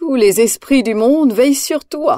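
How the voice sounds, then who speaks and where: The voice sounds female and is a put-on character voice, pitched high. It moves at a moderate pace. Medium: read story. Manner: gentle, calm.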